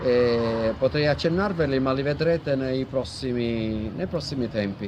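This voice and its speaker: Noticeable background noise sits behind a man speaking at a fairly slow pace. His medium-pitched voice shows ordinary pitch variation. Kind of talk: interview host introduction.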